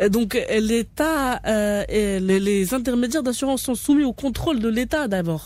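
A woman with a plain, everyday voice speaks at fairly high pitch with ordinary pitch variation. There are hardly any pauses, and the sound is dry with no echo. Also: fairly slow pace. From Morocco. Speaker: radio host. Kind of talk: radio interview. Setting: radio studio. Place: studio.

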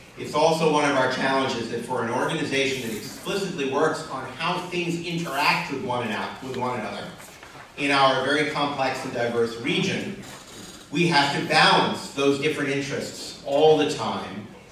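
A man at a moderate pace with ordinary pitch variation, with light background noise and strong room echo. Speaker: panel moderator, regional planning director. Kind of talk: panel moderation and introductions. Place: hall. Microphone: camera far.

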